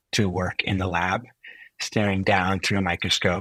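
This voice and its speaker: Against a quiet background, a man with a very deep, low pitch talks at a moderate pace in a bright, sharp tone, the sound dry and close with no echo. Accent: American. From California, US (Silicon Valley). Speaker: physician and health technologist. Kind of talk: podcast interview. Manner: hesitant, many fillers.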